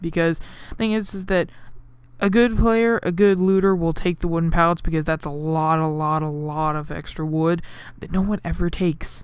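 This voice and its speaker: A woman's fairly low pitch with ordinary pitch variation. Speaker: gaming youtuber. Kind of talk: gameplay commentary. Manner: fast; casual, rambling.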